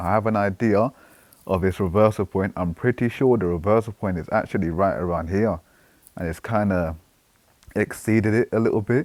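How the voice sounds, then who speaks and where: With a British accent and an animated tone, the fairly quick speech has ordinary pitch variation and a dry, close sound with no echo. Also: man, fairly low pitch for a man. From Britain. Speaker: trading analyst YouTuber. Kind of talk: market analysis commentary. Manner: casual, animated.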